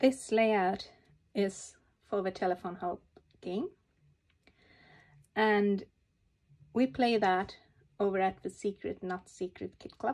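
A woman at medium pitch, calm in tone, with fairly even intonation, a very slow pace and long, frequent pauses, on a very clean recording with a silent background. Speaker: papercraft hobbyist. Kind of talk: tutorial. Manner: halting.

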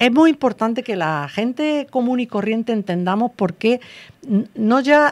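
Lively intonation from a woman at fairly high pitch and a very slow pace, against a quiet background. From Andalusia, Granada province (small village); Andalusia. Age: 60s. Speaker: teacher and researcher, author; teacher. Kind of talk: interview. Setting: radio studio. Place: studio. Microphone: studio mic.

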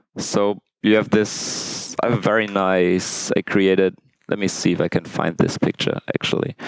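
A man talks at a fairly slow pace in a normal speaking voice, fairly low in pitch with fairly even intonation, the sound dry with no echo against a quiet background. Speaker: conference speaker. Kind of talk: technical conference talk. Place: hall.

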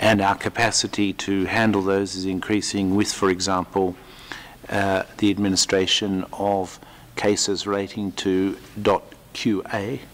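A man's fairly low voice moves at a fairly slow pace in a monotone, flat intonation. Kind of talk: press conference statement. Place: hall. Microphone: podium.

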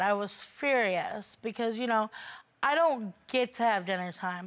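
A woman's fairly high voice with ordinary pitch variation, a fairly slow pace and a quiet background. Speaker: litigant on a court show. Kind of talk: courtroom testimony. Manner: halting. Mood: aggrieved, complaining. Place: studio.

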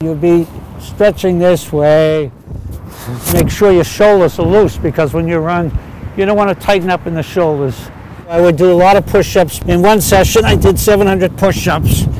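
At a moderate pace, a man with an American accent speaks in a high voice with fairly even intonation. The sound is dry with no echo, over light background noise. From Marblehead, Massachusetts. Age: 80s+. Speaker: marathon runner. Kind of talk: interview answer. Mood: enthusiastic, warm. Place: open country. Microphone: lapel.

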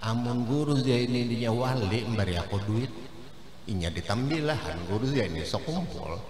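Against clear background noise, a man talks at a moderate pace. His pitch is medium and his intonation lively.

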